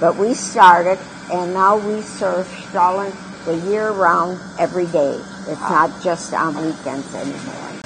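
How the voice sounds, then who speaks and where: Over noticeable background noise, a woman with a fairly low pitch talks at a fairly slow pace with ordinary pitch variation. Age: 80s+. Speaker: restaurant co-founder and cook. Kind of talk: interview answer.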